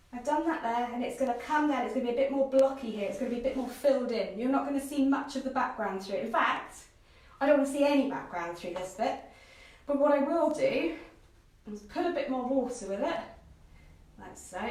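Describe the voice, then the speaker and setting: A woman's high-pitched voice at a very fast pace, with ordinary pitch variation, audible room echo and noticeable background noise. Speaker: art teacher. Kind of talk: live painting tutorial. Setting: live video stream. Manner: chatty.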